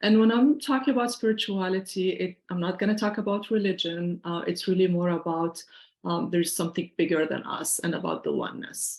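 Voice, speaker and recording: This woman talks at a fairly quick pace, her pitch varying in an ordinary way. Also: medium pitch for a woman. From Syria. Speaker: financial planner and workshop presenter. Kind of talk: online workshop presentation.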